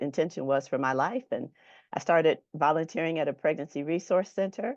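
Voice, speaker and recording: A woman speaks at a fairly quick pace with ordinary pitch variation, her voice recorded dry and close with no echo against a quiet background. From Michigan. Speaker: nurse and ministry founder. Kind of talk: testimony.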